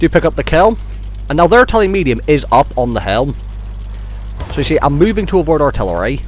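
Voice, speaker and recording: Over noticeable background noise, a man speaks at a very fast pace, broken by long, frequent pauses. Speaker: gaming commentator. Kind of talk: video game commentary. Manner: casual.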